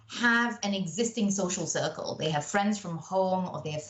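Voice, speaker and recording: With a British accent, a woman speaks in a fairly low pitch with lively intonation. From Malaysia. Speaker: engineering company professional. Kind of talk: podcast interview. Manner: animated.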